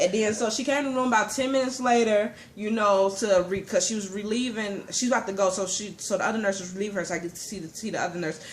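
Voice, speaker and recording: A woman's medium-pitched voice with ordinary pitch variation. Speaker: mother. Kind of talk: personal story told to camera. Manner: fast.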